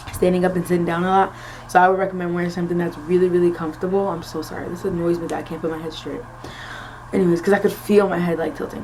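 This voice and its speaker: A woman with an American accent talks at a very fast pace in a fairly low, monotone, flat voice, and her loudness swings widely. Room echo is audible, and the background noise is noticeable. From Florida, US (early years Philadelphia). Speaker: nursing student vlogger. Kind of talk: casual vlog Q&A. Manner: casual with frequent fillers.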